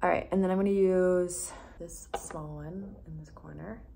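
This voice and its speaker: Soft-spoken, a woman talks amid noticeable background noise and audible room echo. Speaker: beauty vlogger. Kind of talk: tutorial.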